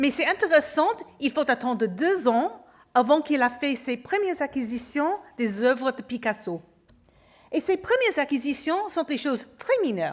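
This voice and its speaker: A woman talks at a fairly slow pace. Her pitch swings very widely. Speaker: museum curator. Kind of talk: conference lecture. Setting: auditorium with audience. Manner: halting, with hesitations.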